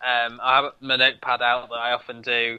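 A man talks with an English Midlands accent. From North Midlands, England. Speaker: podcast co-host. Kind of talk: casual chat.

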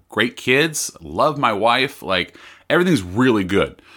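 An American-accented man with a bright, sharp tone and very wide pitch swings, on a very clean recording with a silent background. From California. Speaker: podcast host. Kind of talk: casual chat. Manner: fast; halting, repeats words.

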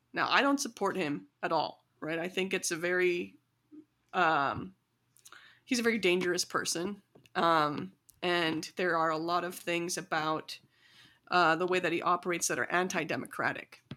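On a very clean recording with a silent background, a woman with a Midwestern American accent speaks at a moderate pace in a fairly low pitch with a bright, sharp tone. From US Midwest, small-town Illinois. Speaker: community organizer. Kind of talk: casual interview.

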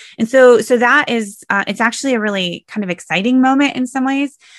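This is a woman with a plain, everyday voice and ordinary pitch variation, speaking at a moderate pace. The sound is dry and close with no echo, over a quiet background. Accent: American. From US Midwest, Sioux Center, Iowa. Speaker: historian and author. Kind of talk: interview conversation.

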